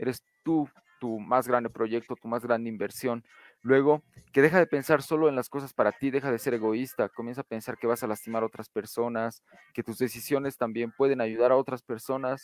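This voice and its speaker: A man at medium pitch with an unremarkable speaking voice, fairly quick and fairly even, in a dry, close sound with no echo over a very clean recording with a silent background. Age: 20s. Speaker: podcast panelist. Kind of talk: casual panel discussion.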